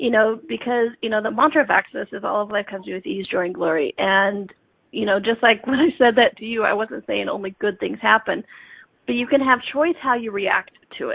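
With lively intonation, a woman speaks at a fairly quick pace in a fairly high pitch. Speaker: guest, body coach and radio host. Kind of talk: casual chat on talk radio. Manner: giggly, humorous.

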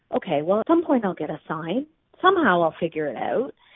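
A normal speaking voice from a woman, medium in pitch, moderate in pace. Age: 40s. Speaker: business coach and community founder. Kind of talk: casual interview.

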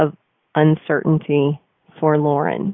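This woman's voice sits very deep and low. Her intonation is flat, a monotone. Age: 40s. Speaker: radio host and marketing coach. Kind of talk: live radio talk show. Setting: studio.

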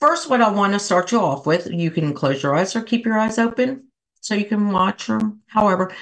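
Loud and at a medium pitch, a woman speaks at a moderate pace with very wide pitch swings. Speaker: life coach and talk show host. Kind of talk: casual talk with guided laughter yoga and breathing. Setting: studio with microphone, live stream. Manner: animated.

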